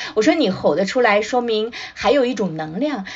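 Her pitch jumping across a very wide range, a woman talks at a moderate speed. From China, Shanghai. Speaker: children's author and drama professor. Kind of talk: casual chat. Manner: halting, many fillers.

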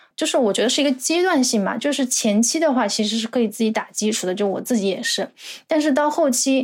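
Very clean recording with a silent background of a woman's high voice, fairly quick, with ordinary pitch variation. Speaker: graduate student in Japanese-language education. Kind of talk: casual interview.

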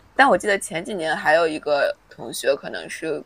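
Against noticeable background noise, a woman with a fairly low pitch speaks at a moderate pace with lively intonation. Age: 20s. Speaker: podcast co-host. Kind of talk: casual chat.

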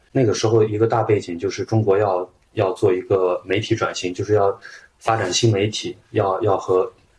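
A man's somewhat breathy, fairly low voice comes at a moderate pace. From Shaanxi, China. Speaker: journalist. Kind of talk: interview conversation.

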